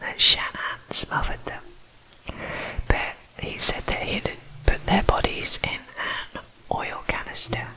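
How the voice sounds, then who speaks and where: A woman is whispering at a fairly slow pace. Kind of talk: true crime ASMR narration. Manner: whispered.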